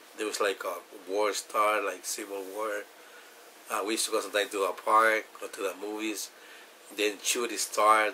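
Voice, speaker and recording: A man with a Salvadoran accent speaks at a fairly low pitch and a moderate pace, with noticeable background noise. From El Salvador. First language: Spanish. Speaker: immigrant telling his story. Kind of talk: personal testimony interview. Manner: halting, many fillers.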